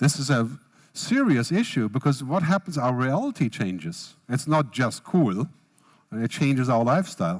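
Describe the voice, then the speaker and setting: In a very clean recording with a silent background, a man talks with lively intonation at very even loudness. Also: medium pitch for a man. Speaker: futurist keynote speaker. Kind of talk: keynote speech. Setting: tent at a business festival with audience. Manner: fast.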